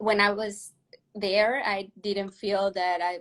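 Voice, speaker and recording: A woman talks at medium pitch in a monotone, flat intonation. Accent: Mexican. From Mexico (Monterrey). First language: Spanish. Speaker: professional ballet dancer. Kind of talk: interview. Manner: halting.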